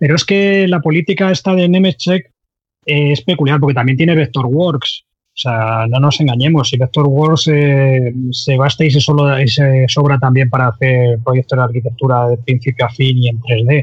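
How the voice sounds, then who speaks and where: Moderate-paced, somewhat breathy speech from a man at a medium pitch, with ordinary pitch variation and very even loudness. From Andalusia, Cádiz. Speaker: 3D software trainer and forum administrator. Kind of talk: casual interview chat.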